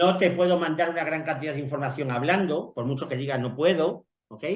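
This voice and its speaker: The speaker talks at a moderate pace. Room echo is audible throughout. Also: man. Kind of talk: casual chat.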